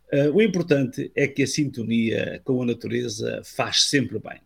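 The man's pitch shifts in an ordinary way, and his voice sounds somewhat breathy. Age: 70s. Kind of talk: scripted talk. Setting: video call.

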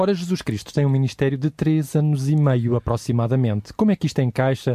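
Speaking fairly quickly with a European Portuguese accent, a man with a medium pitch and a dark, mellow tone uses lively intonation, recorded with a dry, close sound with no echo. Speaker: radio host. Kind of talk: radio Bible study discussion. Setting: studio.

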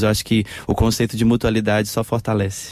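A man's voice is fairly low in pitch, with a dark, mellow tone. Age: young. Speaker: pastor of a church social project. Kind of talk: radio panel discussion. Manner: hesitant, many fillers.

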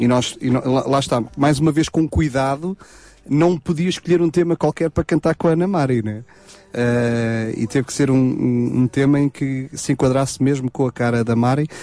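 With a European Portuguese accent, a man speaks at a moderate pace with a medium pitch, ordinary pitch variation and a dark, mellow tone, in a dry, close sound with no echo. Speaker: gospel singer. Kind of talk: radio interview. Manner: halting, many repetitions.

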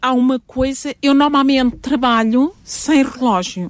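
Her pitch is high for a woman. She talks at a fairly slow pace. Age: 60s. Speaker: family doctor and family therapist. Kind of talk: interview.

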